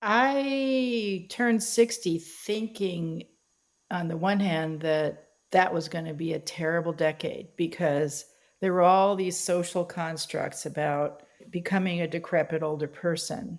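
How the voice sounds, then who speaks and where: A woman speaks in a normal speaking voice, fairly low in pitch, at a fairly slow pace with ordinary pitch variation. The recording is very clean, with a silent background. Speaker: writer and workshop leader. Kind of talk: interview conversation.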